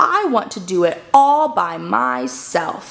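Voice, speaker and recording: A put-on character voice at a fairly slow pace. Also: woman, fairly low pitch for a woman. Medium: read story. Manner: eager, excitable.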